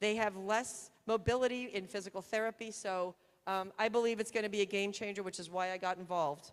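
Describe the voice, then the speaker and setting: Her voice is an ordinary speaking voice, medium in pitch for a woman, with fairly even intonation and a fairly quick pace. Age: 60s. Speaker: surgeon. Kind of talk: conference talk.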